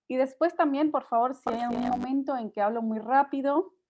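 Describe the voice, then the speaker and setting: This woman's speech shows ordinary pitch variation. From Spain, Tarragona. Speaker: nonprofit director presenting a workshop. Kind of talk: online workshop presentation. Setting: video call. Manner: fast.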